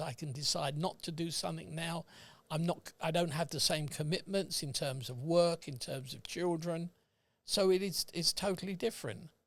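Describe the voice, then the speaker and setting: This is a very clean recording with a silent background. A man speaks with a fairly high pitch. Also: ordinary pitch variation, moderate pace. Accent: British. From England. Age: 80s+. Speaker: retired accountant. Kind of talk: casual chat. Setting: podcast recording.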